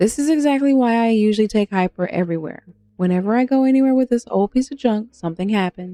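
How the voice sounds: A natural reading voice carries the clip.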